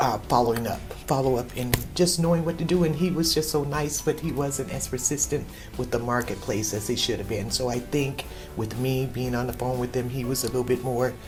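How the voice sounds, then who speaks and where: A woman with a very deep, low pitch and ordinary pitch variation, at a fairly quick pace, amid noticeable background noise and audible room echo. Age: 60s. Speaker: customer service representative. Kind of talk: interview testimonial.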